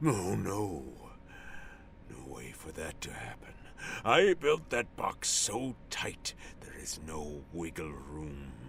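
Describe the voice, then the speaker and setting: A man's put-on character voice, very deep and low, at a very slow pace with long, frequent pauses over clear background noise. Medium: audio drama. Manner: gloating.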